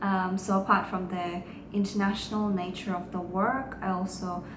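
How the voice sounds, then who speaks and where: A woman speaks at a medium pitch in a monotone, flat delivery, with noticeable background noise and audible room echo. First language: Russian. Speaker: lawyer. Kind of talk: vlog talk to camera.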